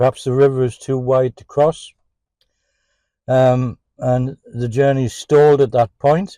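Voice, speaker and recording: Speaking at a fairly slow pace, a man with a fairly high pitch and a dark, mellow tone comes across with a dry, close sound with no echo. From England. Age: 70s. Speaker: songwriter and musician. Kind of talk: casual podcast monologue. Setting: in a parked car.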